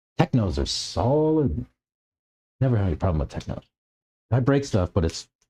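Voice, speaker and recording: Somewhat breathy and dark, mellow in tone, a man speaks at a medium pitch and a moderate pace, with very wide pitch swings and long, frequent pauses. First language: American Sign Language. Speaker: RC car hobbyist streamer. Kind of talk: casual livestream chat. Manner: halting, many fillers.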